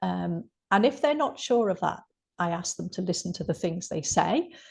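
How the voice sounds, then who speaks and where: A woman with a medium-pitched voice, lively intonation and vocal fry talks at a moderate pace against a quiet background. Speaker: health coach and counsellor. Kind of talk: interview.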